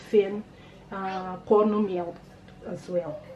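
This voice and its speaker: Here a woman speaks at a very slow pace. Noticeable background noise runs behind her. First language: not English. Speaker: cooking channel host. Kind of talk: cooking tutorial. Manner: casual, hesitant with fillers.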